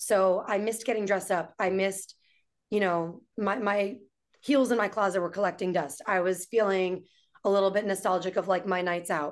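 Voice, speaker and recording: A woman with an American accent has an unremarkable speaking voice at medium pitch. She talks at a moderate pace with fairly even intonation and very even loudness. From New York City. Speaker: entrepreneur and restaurant owner. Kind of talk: casual chat.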